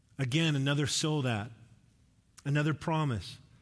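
Audible room echo surrounds the voice. The pitch varies in an ordinary way. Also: man. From Alberta, Canada (near Edmonton). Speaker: preacher. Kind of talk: sermon. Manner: casual, conversational.

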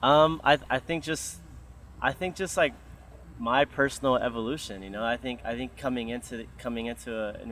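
This man talks at a moderate pace in an ordinary speaking voice, his medium pitch showing ordinary variation. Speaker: DJ. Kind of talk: casual group chat, podcast. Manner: casual, slangy, upbeat.

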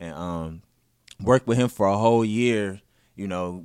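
A man with an American accent has an ordinary speaking voice, fairly low in pitch, with fairly even intonation. The recording is very clean, with a silent background. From US Midwest, north side of Minneapolis. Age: young. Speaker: tech company CEO and event promoter. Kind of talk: casual interview.

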